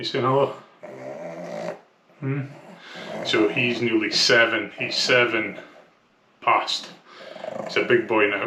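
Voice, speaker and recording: A man speaks at a very slow pace, with long, frequent pauses. Audible room echo and noticeable background noise surround him. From Scotland. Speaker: vlogger documenting weight loss. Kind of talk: casual vlog. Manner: hesitant, many fillers.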